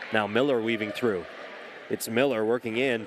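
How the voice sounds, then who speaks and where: With noticeable background noise behind him, a man of medium pitch talks at a moderate pace with fairly even intonation. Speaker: sports play-by-play announcer. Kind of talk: sports play-by-play commentary.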